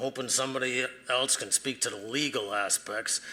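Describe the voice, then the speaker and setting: Speaking at a moderate pace in a Boston accent, a man has a bright, sharp tone and fairly even intonation. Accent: Boston-area. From eastern Massachusetts (Randolph). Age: 60s. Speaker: retired bus mechanic giving public comment. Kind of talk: public comment at a board meeting. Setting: public meeting room.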